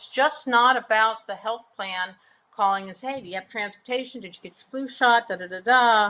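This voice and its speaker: A woman with a normal speaking voice talks at a moderate pace in a fairly high pitch, with ordinary pitch variation and big swings in loudness. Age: 60s. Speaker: health plan executive. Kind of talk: webinar panel discussion. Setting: online webinar.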